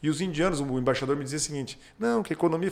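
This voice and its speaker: Lively in intonation, a man rattles along at a very fast pace. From southwestern Paraná, Brazil (Pato Branco). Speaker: businessman and state politician. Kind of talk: casual interview.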